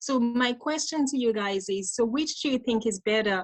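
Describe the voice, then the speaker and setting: A woman speaks at a moderate pace in a fairly high voice. Her delivery is somewhat breathy. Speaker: mental health nurse and life coach giving a talk. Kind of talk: interactive conference talk. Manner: teacher-like.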